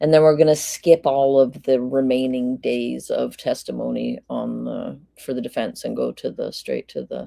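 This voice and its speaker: At a moderate pace, a woman speaks with hardly any pauses and big swings in loudness. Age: 50s. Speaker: live-stream true crime commentator. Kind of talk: casual live-stream chat.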